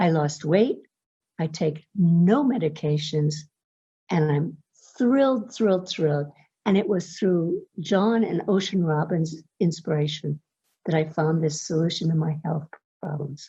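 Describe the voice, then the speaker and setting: The tone is dark and mellow, somewhat breathy, with ordinary pitch variation. Delivery moves at a fairly slow pace. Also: woman, fairly low pitch for a woman. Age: 70s. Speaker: testimonial customer. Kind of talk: testimony.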